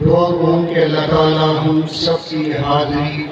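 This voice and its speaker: Amid noticeable background noise, a man talks in a fairly high pitch with monotone, flat intonation. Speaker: Islamic scholar giving a religious speech. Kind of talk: religious sermon at a Milad gathering.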